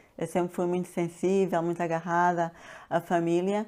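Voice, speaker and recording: Intonation stays fairly even as the speaker moves along at a moderate pace. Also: woman. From Angola (Luanda). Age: 60s. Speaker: pharmacist and health coach. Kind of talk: interview. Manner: hesitant, many fillers.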